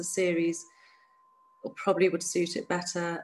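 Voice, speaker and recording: A woman with a southern English accent speaks at a moderate pace in a medium pitch. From England, near London. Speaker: activist against honor killings. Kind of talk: interview testimony.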